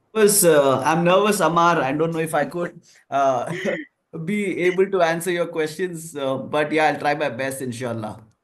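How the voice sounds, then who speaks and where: In a Kannada accent, a man with a fairly high pitch speaks at a moderate pace with ordinary pitch variation. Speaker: marketing professor. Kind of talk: online panel discussion.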